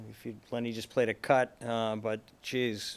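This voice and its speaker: A man with a Boston accent speaks with monotone, flat intonation. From Boston area. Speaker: podcast host, interviewer. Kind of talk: casual interview.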